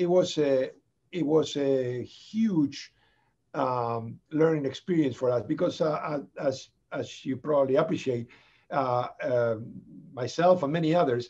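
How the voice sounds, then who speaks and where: At a fairly slow pace, a man speaks with a dark, mellow tone. His pitch is fairly high, with ordinary pitch variation. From Buenos Aires, Argentina. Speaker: HIV/AIDS physician and researcher. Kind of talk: podcast interview answer. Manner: hesitant, many fillers.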